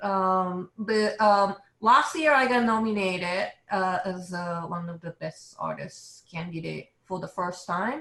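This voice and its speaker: A woman's bright, sharp voice in a Japanese accent, medium in pitch with ordinary pitch variation, very slow in pace, with hardly any pauses and big swings in loudness. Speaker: illustrator. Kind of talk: interview.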